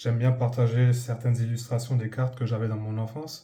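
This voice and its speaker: A man talks at medium pitch in a dark, mellow, somewhat breathy tone. His intonation is monotone and flat. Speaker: YouTuber, Pokémon card collector. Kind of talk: casual video commentary. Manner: halting, many hesitations.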